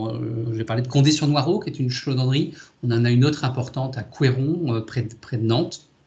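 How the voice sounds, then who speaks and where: A man's dark, mellow, somewhat breathy tone at medium pitch, with ordinary pitch variation and a fairly quick pace. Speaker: boatbuilding company executive. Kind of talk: video conference presentation. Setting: video call. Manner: fast; halting, many repetitions and fillers.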